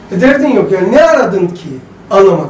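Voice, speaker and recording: There is audible room echo and light background noise as a man speaks at a moderate pace. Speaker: religious teacher. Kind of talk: lecture. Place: classroom.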